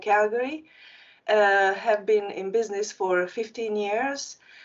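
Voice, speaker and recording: Speaking at a moderate pace, a woman with a Hungarian accent has a fairly high voice. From Transylvania, Romania (Hungarian community). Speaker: marketing agency founder. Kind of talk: panel discussion.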